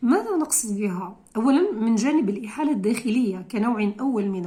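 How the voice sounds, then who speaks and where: A woman talks with lively intonation, and room echo is audible. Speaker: law lecturer. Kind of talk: lecture. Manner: halting.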